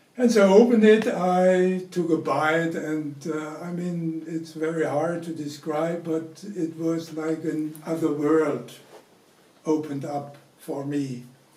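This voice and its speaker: Against noticeable background noise and audible room echo, a man with a German accent speaks very slowly at a fairly high pitch. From Germany, Franconia. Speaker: interviewee sharing family memories. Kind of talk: personal storytelling. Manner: halting, many fillers.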